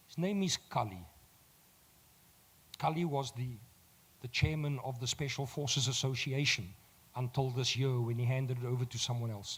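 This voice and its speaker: A man with a medium-pitched, somewhat breathy voice and ordinary pitch variation speaks at a moderate pace, pausing long and often. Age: 60s. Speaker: motivational speaker. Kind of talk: motivational talk. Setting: stage with audience. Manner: animated.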